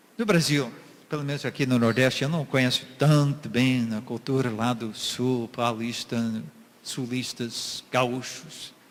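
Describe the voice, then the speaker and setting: Moving at a fairly slow pace, a man speaks in an unremarkable speaking voice with a medium pitch and fairly even intonation. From USA. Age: 60s. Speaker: missionary preacher. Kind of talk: sermon.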